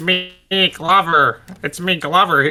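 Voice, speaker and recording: A man puts on a character voice pitched high, with music playing behind him. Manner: playful, exaggerated, potentially annoying.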